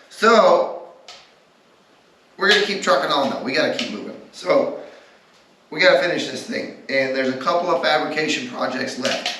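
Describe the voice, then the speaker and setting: Noticeable background noise and audible room echo surround the voice. A man speaks at a moderate pace with long, frequent pauses. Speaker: minibike builder and fabricator. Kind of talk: workshop build vlog. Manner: casual.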